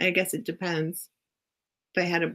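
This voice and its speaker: Fairly low female voice with vocal fry. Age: 20s. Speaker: live stream host. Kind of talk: casual chat.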